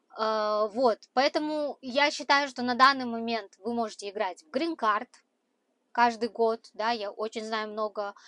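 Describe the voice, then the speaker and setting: Speech moves at a very slow pace with ordinary pitch variation and a dry sound without echo. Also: woman. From Kazakhstan, Aktobe; Kazakhstan. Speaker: truck driver and vlogger; vlogger. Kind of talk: vlog talk to camera. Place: car. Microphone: lapel.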